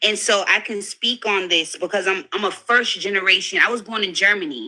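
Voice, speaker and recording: At a fairly quick pace, a woman of medium pitch talks with a New York accent and ordinary pitch variation. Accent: New York American. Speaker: panelist in group discussion. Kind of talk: heated debate.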